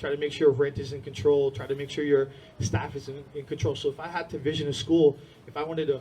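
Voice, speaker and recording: Fairly quick in pace, a man talks in an unremarkable speaking voice. His pitch sits fairly high. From India-born, raised in US from age six (New Jersey area). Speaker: martial arts school owner. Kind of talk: conference talk. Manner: casual, filler-heavy.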